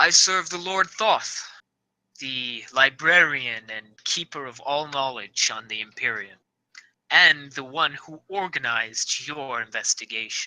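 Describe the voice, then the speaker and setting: A man puts on a booming, resonant character voice with a fairly high pitch, speaking at a fairly slow pace. The recording is very clean, with a silent background. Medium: actual play. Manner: formal, courtly.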